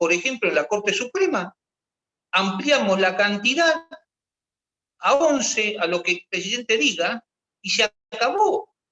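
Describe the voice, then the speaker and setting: In a raised, projected voice, a man speaks at a high pitch with a bright, sharp tone and very wide pitch swings. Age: 60s. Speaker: retired army officer. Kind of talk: discussion workshop. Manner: halting.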